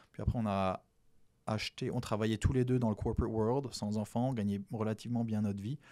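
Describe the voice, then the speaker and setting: At a fairly quick pace, a man speaks at medium pitch with fairly even intonation in a very clean recording with a silent background. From French Antilles. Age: 40s. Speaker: real estate investor. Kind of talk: interview.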